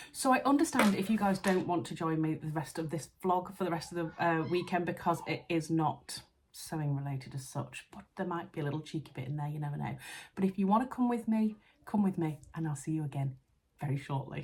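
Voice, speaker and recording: A woman's fairly low, somewhat breathy voice, animated in tone, with lively intonation and a fairly quick pace. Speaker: sewing vlogger. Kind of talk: casual vlog. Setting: friend's house at night. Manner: chatty, animated; soft-spoken, quiet.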